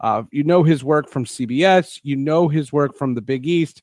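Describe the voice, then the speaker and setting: Set against a quiet background with a dry, close sound with no echo, an ordinary speaking voice uses ordinary pitch variation. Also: man. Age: 40s. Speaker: sports podcast host. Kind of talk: interview.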